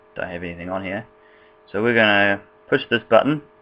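A man with a New Zealand accent. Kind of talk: casual game tutorial screen recording. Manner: casual, rambling.

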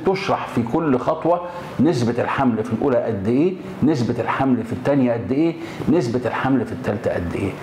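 A man talks at a moderate pace. There is audible room echo and light background noise. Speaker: gynecology professor. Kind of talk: explanatory talk to camera. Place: office. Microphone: lapel.

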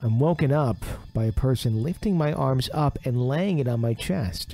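The speaker moves at a moderate pace with lively intonation and very even loudness. Music plays in the background. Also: man, medium pitch for a man. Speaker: radio show host. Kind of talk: reading a listener's ghost story aloud.

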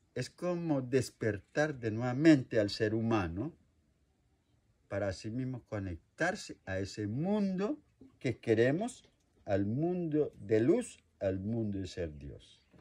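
A somewhat breathy man at a very slow pace, with very wide pitch swings. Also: medium pitch for a man. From Colombia, Meta. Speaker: traditional healer. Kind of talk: interview answer.

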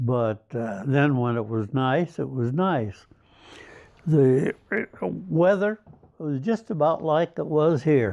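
Against a quiet background, a man with a dark, mellow tone speaks at a very slow pace with long, frequent pauses. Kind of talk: interview answer. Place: home room. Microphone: phone near.

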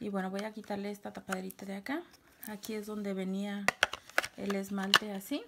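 Quietly and at a moderate pace, a woman talks at a medium pitch with little pitch movement, vocal fry and a bright, sharp tone.

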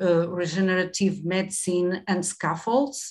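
A woman with a Portuguese accent speaks at a very slow pace and a fairly low pitch, in a monotone, flat intonation. The background is quiet. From Portugal. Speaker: professor. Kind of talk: webinar presentation. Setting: video call. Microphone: webcam.

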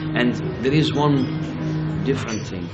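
There is music behind the man while he talks. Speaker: local guide. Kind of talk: interview answer. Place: cafe.

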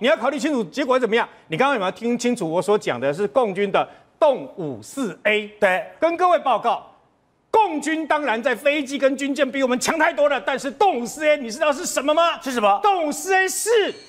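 Faint music plays behind a man speaking. His pitch is extremely high, with very wide swings. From Taiwan. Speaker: military commentator. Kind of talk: TV talk show panel discussion. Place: studio.

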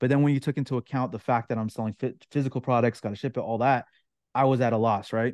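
Against a quiet background, a man speaks very fast with fairly even intonation, the sound dry with no echo. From Ontario, Canada. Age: 30s. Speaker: online course creator. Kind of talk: interview. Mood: reflective storytelling. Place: home room. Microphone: video call.

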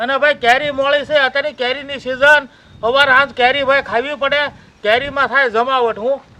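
A man projects his extremely high voice in a raised, monotone delivery with flat intonation. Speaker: farmer vlogger. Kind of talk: casual vlog talk. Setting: outdoors on farm. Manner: loud.

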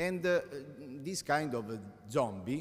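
Audible room echo surrounds a man with an Italian accent. His medium-pitched voice moves in very wide pitch swings at a very slow pace. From Italy. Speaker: law professor. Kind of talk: conference talk. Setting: conference hall with audience. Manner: halting, many hesitations.

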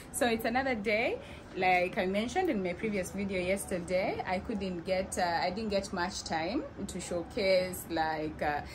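A woman speaks at a moderate pace with ordinary pitch variation. Noticeable background noise can be heard. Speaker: vlogger. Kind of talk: casual vlog chat. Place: kitchen. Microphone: phone near.

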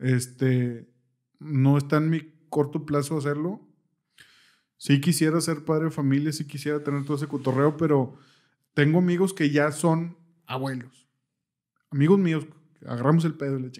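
Over a quiet background, a man with a fairly high pitch and dark, mellow tone talks at a moderate pace with fairly even intonation and long, frequent pauses. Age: 30s. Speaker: podcast host. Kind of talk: casual chat. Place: studio. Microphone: studio mic.

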